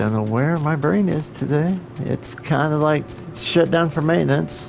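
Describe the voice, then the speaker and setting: Music plays in the background. Over it, a man speaks at a fairly high pitch. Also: ordinary pitch variation, moderate pace. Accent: American. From Oklahoma. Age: 50s. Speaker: video game streamer. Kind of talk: casual live-stream gameplay chat. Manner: halting, many fillers.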